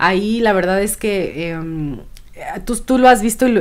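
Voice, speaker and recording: Her intonation lively, a woman talks at a fairly slow pace. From Michoacán, Mexico. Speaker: podcast co-host, cook; podcast co-host. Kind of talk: casual chat. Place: home room. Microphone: studio mic.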